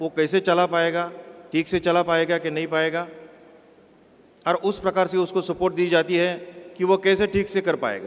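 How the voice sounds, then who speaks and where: Speaking with monotone, flat intonation, a man has a high pitch. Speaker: bank chief executive. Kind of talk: public speech. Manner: halting.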